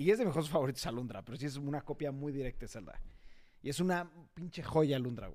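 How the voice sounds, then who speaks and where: A man with a fairly high pitch, dark, mellow tone, ordinary pitch variation and a very fast pace. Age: 30s. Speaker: podcast host. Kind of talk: casual chat.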